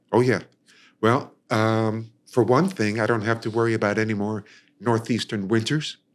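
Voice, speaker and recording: This man has an ordinary speaking voice with an American accent, medium pitch and fairly even intonation, talking at a moderate pace in a very clean recording with a silent background. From New York, Long Island. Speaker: singer and ukulele player. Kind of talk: casual interview chat.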